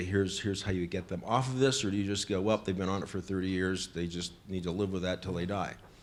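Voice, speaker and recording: Very fast and monotone with flat intonation, a man talks at a very deep, low pitch. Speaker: rural doctor asking a question. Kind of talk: audience question. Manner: loud.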